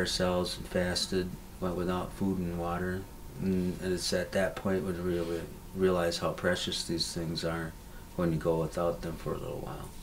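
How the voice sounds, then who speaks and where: A man speaks fairly quickly in a very deep, low, monotone voice. Noticeable background noise is present. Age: old. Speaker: Anishinabe elder and spiritual leader. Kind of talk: interview answer.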